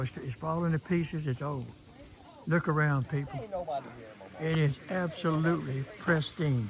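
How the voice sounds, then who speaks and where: Background noise is noticeable as a man speaks at a moderate pace with ordinary pitch variation. His pitch is fairly high, and he takes long, frequent pauses. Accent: American. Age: 80s+. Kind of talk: casual narration while filming. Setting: outdoors.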